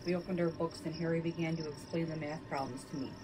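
The delivery is fairly brisk. There is noticeable noise behind it. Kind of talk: reading aloud a scary story, bedtime ghost-story telling. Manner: shifts between narrator and characters, lightly acting out dialogue.

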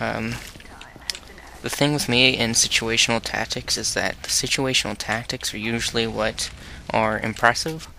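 Medium-pitched male voice at a moderate pace, fairly even in intonation, over noticeable background noise. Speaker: gaming video maker. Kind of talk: live gameplay commentary. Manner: halting, filler-heavy; quiet, soft-spoken.

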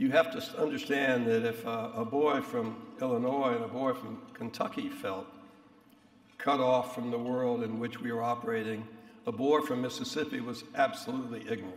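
A man talks at a moderate pace. Room echo is audible. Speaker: speaker. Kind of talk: after-dinner speech. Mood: wry, reminiscent. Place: hall. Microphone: podium.

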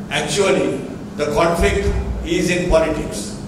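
The voice carries a strong room echo. Noticeable background noise is also heard. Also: man. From Sri Lanka. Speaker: national boxing association president. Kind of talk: press conference. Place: hall. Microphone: podium.

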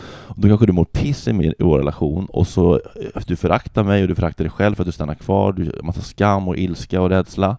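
Very deep and low, the man's voice has a dark, mellow tone and some vocal fry. He talks at a fairly quick pace, the sound dry with no echo and the background quiet. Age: 30s. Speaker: comedian. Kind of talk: casual chat. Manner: halting. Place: home room. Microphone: handheld.

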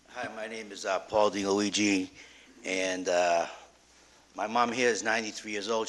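A man with a Boston accent has a fairly low pitch and a bright, sharp tone, delivered in a flat monotone. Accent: Boston-area. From Revere, Massachusetts. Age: 50s. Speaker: resident speaking at public hearing. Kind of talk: public comment at council hearing. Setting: city council meeting.

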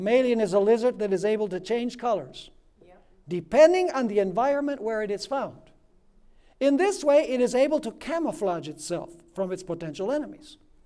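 Little sound intrudes from the background. A man's speech moves at a moderate speed. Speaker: preacher. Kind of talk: sermon. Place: stage. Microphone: lapel.

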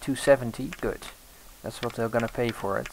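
A man with a medium pitch and ordinary pitch variation speaks fairly slowly against noticeable background noise. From Europe. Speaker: gaming let's play host. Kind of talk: let's play commentary. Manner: animated, with frequent fillers.

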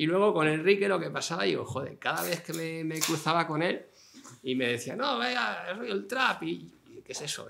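A man with a fairly high pitch speaks in very wide pitch swings over light background noise. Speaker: novelist. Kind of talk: public interview before audience. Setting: stage with live audience. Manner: talkative, fast. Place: home room. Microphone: camera far.

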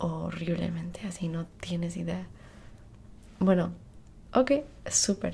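A somewhat breathy woman's voice, fairly low in pitch, at a fairly slow pace. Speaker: skincare roleplay host. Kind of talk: casual roleplay tutorial. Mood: friendly, relaxed. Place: home room. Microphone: earbuds.

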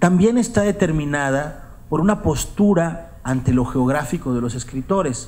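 Pitched fairly high, a man speaks at a fairly slow pace with very wide swings in pitch. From northeastern Mexico, Coahuila. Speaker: writer; writer giving a lecture. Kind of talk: lecture. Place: hall. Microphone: podium.

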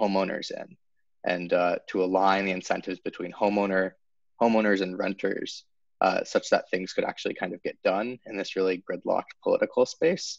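A man talks at a fairly quick pace. The sound is dry with no echo against a quiet background. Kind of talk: interview answer. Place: home room. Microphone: video call.

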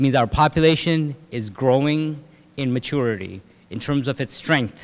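The pace is moderate, and the pitch varies in an ordinary way. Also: man. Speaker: speaker. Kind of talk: lecture. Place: hall. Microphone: podium.

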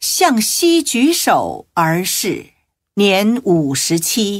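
Very wide pitch swings at a very slow pace over a quiet background. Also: man. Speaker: audiobook narrator. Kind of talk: devotional audiobook reading of Buddhist biography (radio drama style). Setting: recording studio. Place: studio.

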